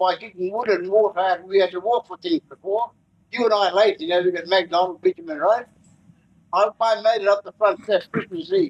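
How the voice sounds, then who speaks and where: Speaking at a fairly quick pace, a man has a high pitch. His pitch variation is ordinary. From Far North Queensland, Australia. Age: 70s. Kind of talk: welcome to country speech. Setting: forum with live audience.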